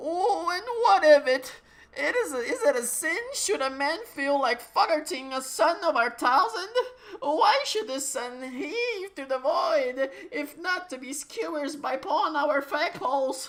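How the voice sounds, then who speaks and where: The speaker uses a put-on character voice. It sits high in pitch and unfolds at a fairly slow pace. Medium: read story. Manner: pompous, theatrical.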